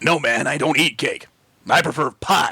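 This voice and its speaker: A raspy put-on character voice is heard. It moves at a moderate pace. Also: man, fairly high pitch for a man. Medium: read story. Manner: gruff, laconic, says man a lot.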